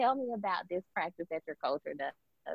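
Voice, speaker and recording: A woman speaking at a fairly quick pace with very wide pitch swings. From Alabama, Birmingham. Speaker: communications consultant and podcaster. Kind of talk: interview conversation.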